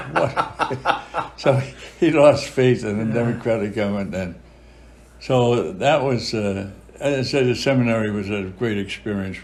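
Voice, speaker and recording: With a Boston accent, a man speaks fairly slowly at a medium pitch with ordinary pitch variation. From Charlestown, Massachusetts. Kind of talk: interview answer.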